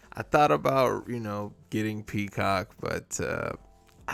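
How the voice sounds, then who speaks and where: A man's speech, set against music in the background, has ordinary pitch variation and a moderate pace. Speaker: movie reviewer. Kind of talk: casual movie review. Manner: casual, conversational.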